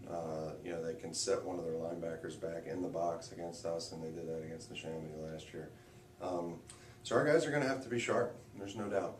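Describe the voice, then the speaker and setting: Amid noticeable background noise and audible room echo, a man with a very deep, low pitch talks very fast with ordinary pitch variation. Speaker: high school football head coach. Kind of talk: radio interview. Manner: hesitant, many fillers.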